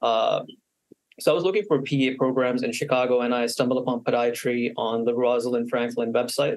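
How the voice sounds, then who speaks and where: Fairly quick and fairly even in intonation, the man talks at a medium pitch. His is a plain, everyday voice. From Canada, Manitoba. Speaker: podiatric medical student. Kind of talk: interview.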